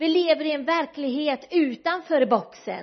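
Fairly slow speech from a woman, high in pitch. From west coast Sweden, Kungshamn in Bohuslän. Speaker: guest preacher. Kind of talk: sermon.

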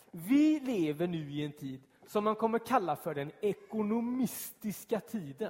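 At a fairly slow pace, a man speaks with a high pitch and very wide pitch swings. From Gothenburg southern archipelago, Sweden. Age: 30s. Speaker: pastor. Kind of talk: sermon. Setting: church.

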